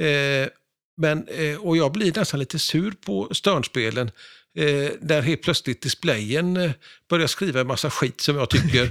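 In a very clean recording with a silent background and a dry, close sound with no echo, a man with an unremarkable speaking voice and a fairly high pitch talks at a fairly slow pace with lively intonation. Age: 60s. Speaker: pinball historian and collector. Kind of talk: casual interview.

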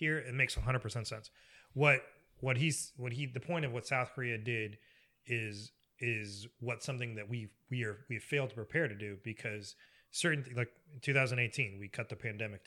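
The recording is very clean, with a silent background. A man with a medium pitch talks at a fairly quick pace in a bright, sharp tone. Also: ordinary pitch variation. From Egypt. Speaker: podcast guest. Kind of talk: casual chat.

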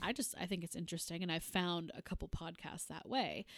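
Using an ordinary speaking voice, a woman talks at a fairly quick pace with lively intonation. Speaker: podcast host. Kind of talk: casual chat.

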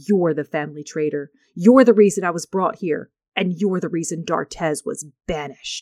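Growling at a moderate pace, a woman puts on a character voice. Her pitch is fairly low for a woman. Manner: full of hatred, accusing.

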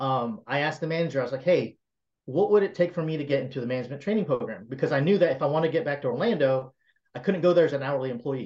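A man's somewhat breathy voice at a fairly high pitch, with an American accent, ordinary pitch variation and a very fast pace. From US South, South Carolina. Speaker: tech entrepreneur. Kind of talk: interview.

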